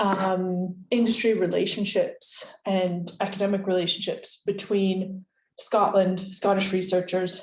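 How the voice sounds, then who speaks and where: A somewhat breathy, medium-pitched woman with an American accent, talking fairly slowly. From United States. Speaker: creative industries researcher. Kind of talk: lecture.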